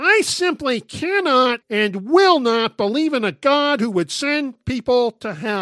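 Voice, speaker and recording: Using a put-on character voice, a woman projects loudly at a high pitch with very wide swings and hardly any pauses, the sound dry and close with no echo. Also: fairly slow pace. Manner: caricatured skeptic.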